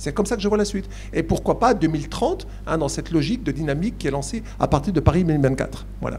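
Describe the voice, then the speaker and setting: A man talking at a very fast pace in a Franche-Comté accent, with audible room echo and noticeable background noise. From eastern France, Besançon. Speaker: university academic, Olympic studies. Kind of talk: panel discussion Q&A. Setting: conference with live audience. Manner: hesitant, many fillers.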